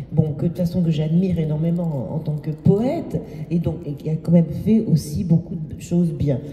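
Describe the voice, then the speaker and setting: Against noticeable background noise, a woman speaks at a moderate pace with a very deep, low pitch and ordinary pitch variation. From Martinique, Fort-de-France. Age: 70s. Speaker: novelist. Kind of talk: panel discussion. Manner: halting.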